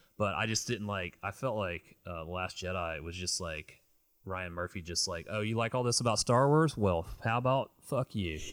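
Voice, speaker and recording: A man's normal speaking voice, fairly low in pitch with ordinary pitch variation, at a moderate pace, on a very clean recording with a silent background. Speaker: film podcast co-host. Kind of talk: casual chat. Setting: home room with movie shelves.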